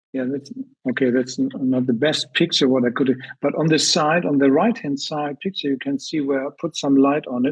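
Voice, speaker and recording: The pitch of this man's voice runs fairly high, with ordinary variation. He keeps a moderate pace. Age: 60s. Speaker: product distributor giving a testimonial. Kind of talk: testimony. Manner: halting.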